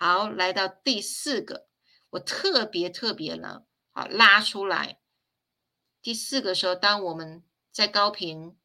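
Very slow and marked by long, frequent pauses, a woman speaks at a medium pitch with a bright, sharp tone, ordinary pitch variation and big swings in loudness. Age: 50s. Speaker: spiritual teacher. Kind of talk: livestream lecture.

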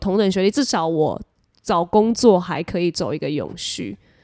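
In a very clean recording with a silent background and a dry, close sound with no echo, a woman speaks at medium pitch in a dark, mellow tone with vocal fry and lively intonation. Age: 20s. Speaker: entertainment host and podcast co-host. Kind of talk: casual chat.

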